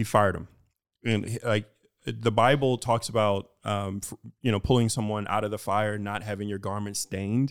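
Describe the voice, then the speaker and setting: With an American accent, a man speaks in a normal speaking voice at a fairly low pitch and moderate pace, his intonation fairly even, on a very clean recording with a silent background. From Houston, Texas. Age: 40s. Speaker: financial educator and army veteran. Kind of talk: interview.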